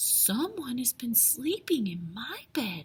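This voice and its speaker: A woman's put-on character voice, high-pitched with very wide pitch swings. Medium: read story.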